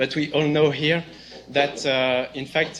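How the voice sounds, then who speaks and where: A man with a French accent speaks at a very slow pace. Audible room echo surrounds his voice. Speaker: software developer and company CTO. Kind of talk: conference talk. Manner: halting.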